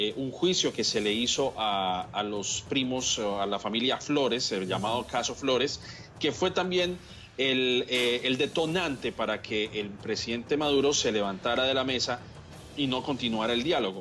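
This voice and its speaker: A man with a normal speaking voice goes at a fairly slow pace, his pitch varying in an ordinary way. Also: medium pitch for a man. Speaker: political analyst. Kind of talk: TV news interview answer, formal commentary. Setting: TV news program.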